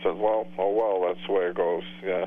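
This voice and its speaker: Over noticeable background noise, a man with a very deep, low voice talks at a fairly quick pace with ordinary pitch variation. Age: 60s. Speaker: sibling of the host, regular on-air contributor. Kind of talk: casual chat.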